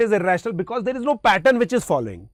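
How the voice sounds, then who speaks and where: The speaker has an Indian accent and lively intonation. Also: man. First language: Hindi. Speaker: maths teacher. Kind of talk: lecture.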